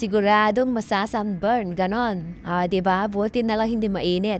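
In a dry recording with no echo and light background noise, a woman speaks at a fairly high pitch. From Philippines. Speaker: travel vlogger. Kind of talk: vlog narration while hiking. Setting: outdoors on a mountain. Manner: animated. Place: open country. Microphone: phone near.

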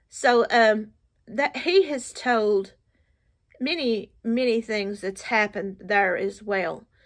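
A woman with an American accent speaks at a very slow pace, her fairly high pitch showing ordinary variation. The background is quiet. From Appalachian United States. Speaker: storyteller. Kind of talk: casual storytelling to camera. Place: home room. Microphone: phone near.

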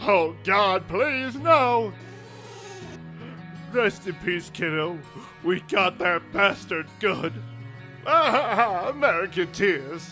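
A man with a high pitch uses a raised, projected voice at a very slow pace. Clear music plays in the background.

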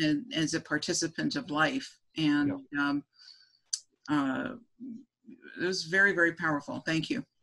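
With a bright, sharp tone and lively intonation, the voice moves at a moderate pace with long, frequent pauses over a quiet background. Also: woman, fairly low pitch for a woman. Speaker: teacher and panelist; teacher, panelist. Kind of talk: casual panel discussion. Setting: video call. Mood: reflective, moved. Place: home room. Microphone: video call.

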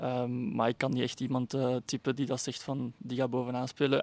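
In a dry recording with no echo, a man speaks at a fairly quick pace. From Flemish Brabant, Belgium (Kortenberg); Flemish Brabant, Belgium. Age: 20s. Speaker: amateur footballer. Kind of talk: interview. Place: stadium. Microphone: handheld.

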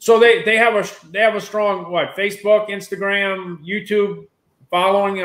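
A man speaks in a high pitch. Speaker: online show host. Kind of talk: casual live-stream chat. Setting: video call. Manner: fast talker.

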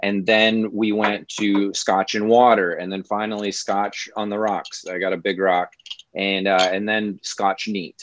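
A man with a Midwestern American accent, fairly low pitch, monotone, flat intonation and a fairly slow pace, in a dry sound with no echo and light background noise. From US Midwest. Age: 40s. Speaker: comedian. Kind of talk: casual interview. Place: home room. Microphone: video call.

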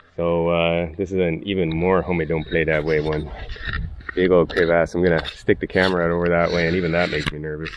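Over noticeable background noise, a man speaks very fast in a very deep, low pitch with monotone, flat intonation and a dry sound with no echo. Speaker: hiker vlogger. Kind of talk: casual vlog chat. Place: open country. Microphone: phone near.

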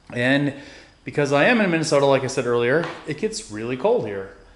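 There is audible room echo as a man talks at a fairly quick pace. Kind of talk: casual vlog tour narration. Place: garage. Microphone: phone near.

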